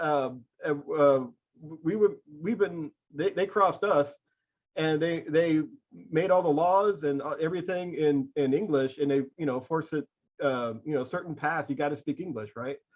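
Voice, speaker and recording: Using a normal speaking voice, a man with an American accent talks at a moderate pace, his pitch fairly high with ordinary variation. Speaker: literary magazine editor. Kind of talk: interview questions, casual conversation.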